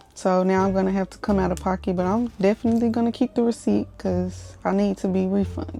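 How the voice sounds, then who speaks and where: A woman talks at a very fast pace with hardly any pauses. Her loudness stays very even throughout. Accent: Dallas. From Texas, Dallas. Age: 20s. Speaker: vlogger, military service member. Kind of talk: casual vlog talk and voice-over.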